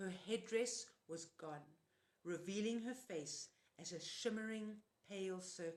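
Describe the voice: This is plain reading aloud, and its pitch varies in an ordinary way.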